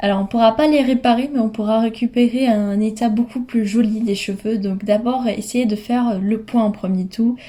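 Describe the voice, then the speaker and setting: The voice has a dark, mellow tone and a somewhat breathy quality, moving at a moderate pace with hardly any pauses. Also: woman, fairly high pitch for a woman. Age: 20s. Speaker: hair care vlogger. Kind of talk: tutorial. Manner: hesitant with frequent fillers.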